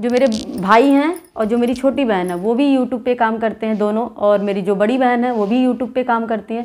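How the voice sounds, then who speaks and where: Fairly high in pitch, a woman speaks at a fairly quick pace with ordinary pitch variation. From Basti, eastern Uttar Pradesh, India; Uttar Pradesh. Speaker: YouTuber, dholak folk singer; YouTuber. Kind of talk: casual vlog talk to viewers. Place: home room. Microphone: phone near.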